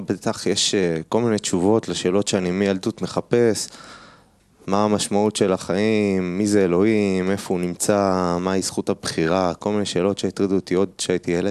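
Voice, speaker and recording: A man with an unremarkable speaking voice, fairly low in pitch, at a moderate pace with fairly even intonation and very even loudness, in a dry, close sound with no echo over a quiet background. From Israel, Haredi family. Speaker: kabbalah student. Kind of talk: personal testimony.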